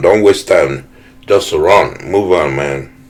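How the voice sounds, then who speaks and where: Noticeable background noise beneath a man's fairly slow pace. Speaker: math teacher. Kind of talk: lecture. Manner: casual, halting with self-corrections.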